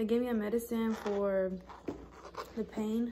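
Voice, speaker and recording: Light background noise sits behind a woman's voice. She speaks at a fairly slow pace with monotone, flat intonation. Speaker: vlogger. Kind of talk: casual vlog chat. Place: home room. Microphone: phone near.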